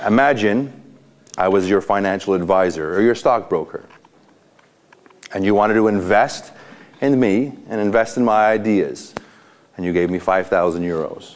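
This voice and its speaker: A man's fairly low voice at a moderate pace, with long, frequent pauses. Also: ordinary pitch variation. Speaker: motivational speaker, coach. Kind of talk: motivational talk to a group. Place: hall. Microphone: lapel.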